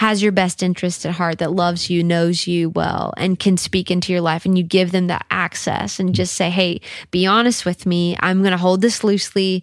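A woman with an American accent speaks at a fairly low pitch and a moderate pace, with hardly any pauses. Her intonation is monotone and flat, and her loudness very even. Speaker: worship leader and singer. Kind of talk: casual interview chat. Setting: home studio.

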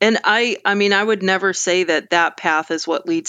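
Delivery here is at a moderate pace with fairly even intonation. It is a normal speaking voice. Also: woman. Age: 40s. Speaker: ecologist, former professor. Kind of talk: casual interview.

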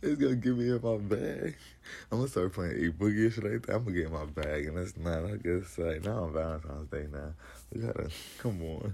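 A man with a very deep, low, dark and mellow voice speaks fairly quickly, somewhat breathy, with lively intonation. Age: 20s. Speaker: podcast host. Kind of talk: casual chat. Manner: animated.

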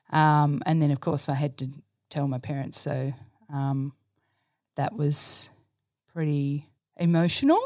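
At a fairly slow pace, a woman with a very deep, low pitch speaks in a monotone, flat intonation with long, frequent pauses. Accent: Australian. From Australia, rural New South Wales (Dubbo). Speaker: church staff member and science teacher. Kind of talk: casual interview, personal testimony. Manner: hesitant, many fillers.

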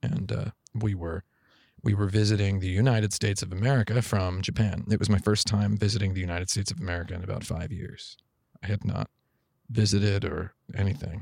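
A man with a fairly low, somewhat breathy voice speaks at a fairly quick pace with ordinary pitch variation, on a very clean recording with a silent background. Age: 40s. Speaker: video game journalist. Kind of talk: casual chat. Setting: office.

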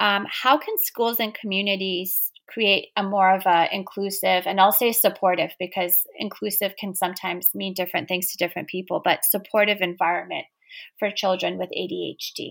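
Fairly even intonation marks an unremarkable speaking voice that keeps a moderate pace. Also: woman, medium pitch for a woman. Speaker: podcast host. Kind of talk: casual interview.

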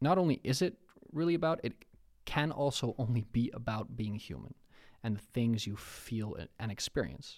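Using lively intonation, a man speaks with a Dutch accent. His pace is moderate. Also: medium pitch for a man. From Netherlands. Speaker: rapper and creative entrepreneur. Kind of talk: casual chat.

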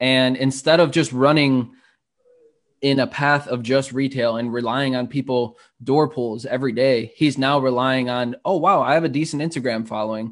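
A man in an American accent speaks with a normal speaking voice at medium pitch. His pace is moderate and his intonation fairly even. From Chicago (Humboldt Park). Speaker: startup entrepreneur. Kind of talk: interview.

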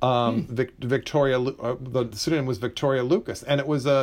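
An unremarkable speaking voice from a man, fairly high in pitch, at a fairly quick pace. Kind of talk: casual conversation about books.

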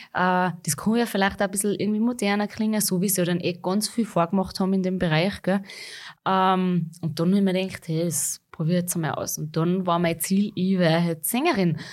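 A woman with a Salzburg Austrian accent, medium-pitched, fairly quick, with fairly even intonation. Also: very clean recording, silent background. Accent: rural Salzburg Austrian dialect. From Austria, Salzburg region, rural farm. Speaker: pop-schlager singer. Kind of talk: interview.

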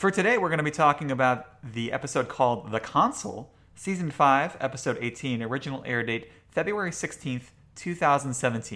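Speaking at a fairly quick pace, a man uses a fairly high pitch, a bright, sharp tone and lively intonation. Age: 30s. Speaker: podcast host. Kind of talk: casual chat.

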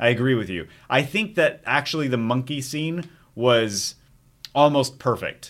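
A man with an ordinary speaking voice talks at a fairly slow pace in a medium pitch, his intonation lively, on a very clean recording with a silent background. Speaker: movie podcast host. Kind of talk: casual banter, movie discussion.

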